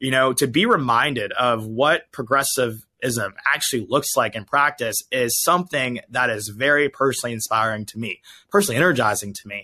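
Male voice of medium pitch with a bright, sharp tone, a fairly quick pace, hardly any pauses, big swings in loudness and ordinary pitch variation, over a quiet background. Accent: American. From US South, Georgia. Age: 20s. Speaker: conservative political commentator. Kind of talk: interview.

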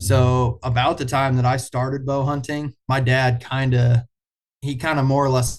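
In an American accent, a man speaks at a medium pitch, somewhat breathy and monotone. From US Midwest, east central Iowa. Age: 20s. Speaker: bowhunter. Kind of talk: casual interview chat.

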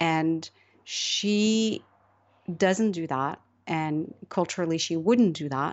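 A woman speaks at a very slow pace in a fairly low voice. Her pitch varies in an ordinary way, with long, frequent pauses. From Morocco. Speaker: novelist. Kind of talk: interview.

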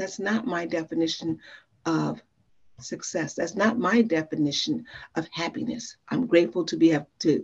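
In an unremarkable speaking voice, a woman with an American accent talks at a moderate pace, her fairly low pitch carried by lively intonation. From Chicago, South Side. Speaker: life coach and speaker. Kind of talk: interview.

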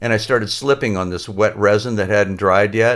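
Heard in a very clean recording with a silent background, a man talks at a fairly quick pace with fairly low pitch and fairly even intonation, an ordinary speaking voice. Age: 60s. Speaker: surfboard laminator and shop owner. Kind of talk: casual interview.

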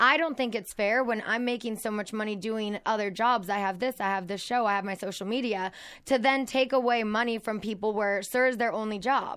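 In a plain, everyday voice, a woman speaks fairly quickly with hardly any pauses, her fairly high pitch following a fairly even intonation on a very clean recording with a silent background. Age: 30s. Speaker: podcast host. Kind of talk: casual chat.

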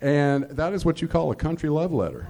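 A man speaks with a Southern US accent. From Georgia, US South. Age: 50s. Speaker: comedian. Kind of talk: stand-up. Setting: stage with audience.

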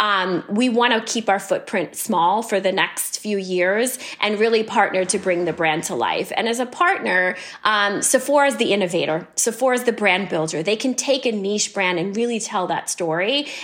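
With an American accent and hardly any pauses, a woman talks at a moderate pace and medium pitch with ordinary pitch variation over noticeable background noise. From US, New York City. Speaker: beauty company CEO. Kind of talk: interview.

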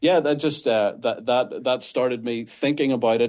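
Against a quiet background, a man with a Northern Irish accent talks at a moderate pace. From Northern Ireland. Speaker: pastor. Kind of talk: interview. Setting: remote call.

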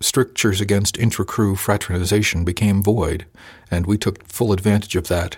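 The delivery is a natural reading voice. Intonation stays fairly even.

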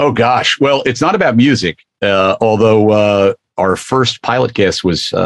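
In a dry, close sound with no echo, a man with a normal speaking voice talks at a fairly slow pace and medium pitch, with ordinary pitch variation and very even loudness. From US. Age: 60s. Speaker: television executive. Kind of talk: casual chat.

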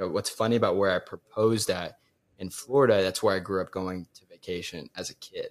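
An unremarkable speaking voice, a man with fairly low pitch, fairly even intonation and a fairly quick pace. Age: 20s. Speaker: newly engaged fiance. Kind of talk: casual interview chat.

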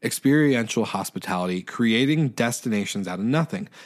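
In an American accent, the speaker sounds animated, with lively intonation at a moderate pace on a very clean recording with a silent background. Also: man. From Washington State, US (island north of Seattle). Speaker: short-term rental host, guest podcast host. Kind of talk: casual podcast monologue.

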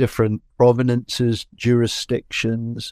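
A man with an Edinburgh accent speaks at a medium pitch in a dark, mellow tone, on a very clean recording with a silent background and a dry, close sound with no echo. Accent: Scottish (Edinburgh). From Scotland, Edinburgh. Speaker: whisky brand ambassador. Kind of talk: interview.

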